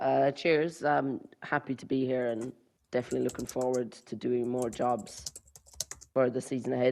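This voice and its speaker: In an Irish accent, a man talks at a moderate pace. His intonation is monotone and flat at a medium pitch. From southern Ireland. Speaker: co-commentator. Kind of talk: live commentary.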